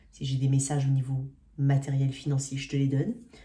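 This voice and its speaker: A woman's very deep, low voice, dark and mellow in tone and somewhat breathy. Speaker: tarot reader. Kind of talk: tarot reading video. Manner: very fast; animated.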